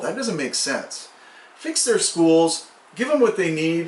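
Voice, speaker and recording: Against noticeable background noise, a man speaks at a high pitch with lively intonation. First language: Spanish. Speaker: community activist. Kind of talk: prepared address to community.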